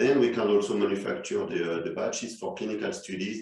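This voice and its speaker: Here a man speaks with a French accent. His pitch swings very widely. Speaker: chemist. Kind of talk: corporate presentation.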